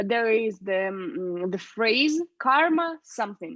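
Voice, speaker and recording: The voice carries a Russian accent and lively intonation. It moves at a very slow pace. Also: woman. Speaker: speaking club leader. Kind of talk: casual chat.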